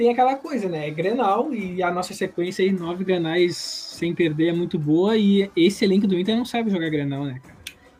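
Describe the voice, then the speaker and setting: Noticeable background noise accompanies a man whose high pitch shows ordinary variation. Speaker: football podcast co-host. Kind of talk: casual chat.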